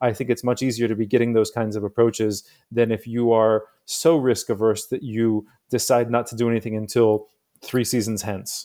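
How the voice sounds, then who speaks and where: Over a silent background on a very clean recording, a man speaks at medium pitch and a moderate pace. His tone is dark and mellow, and his intonation is monotone and flat. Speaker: sports league executive. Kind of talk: casual round-table discussion.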